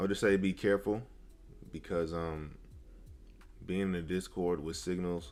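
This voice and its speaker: With music in the background, a man with a very deep, low pitch speaks in a relaxed tone at a moderate pace, with fairly even intonation and long, frequent pauses. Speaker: day trader streaming live. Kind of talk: live stream chat. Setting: live stream. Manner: casual, relaxed.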